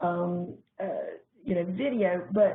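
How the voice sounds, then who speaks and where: A woman in a Southern US accent, with ordinary pitch variation. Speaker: corporate trainer. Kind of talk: webinar presentation.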